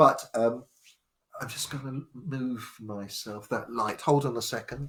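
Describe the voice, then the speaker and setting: At a fairly slow pace, a man of medium pitch speaks with fairly even intonation and big swings in loudness. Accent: southern English. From southwest London, England. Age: 60s. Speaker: spiritual storyteller. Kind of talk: live stream talk. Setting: live stream from home. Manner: halting.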